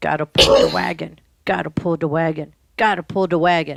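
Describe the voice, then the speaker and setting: In a put-on character voice at a middle pitch, the speaker moves along at a fairly quick pace. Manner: muttering, monotonous.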